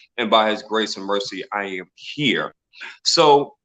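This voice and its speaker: In a New York accent, a man speaks with a bright, sharp tone and lively intonation. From Brooklyn, New York. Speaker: mindset coach and inspirational speaker. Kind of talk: interview.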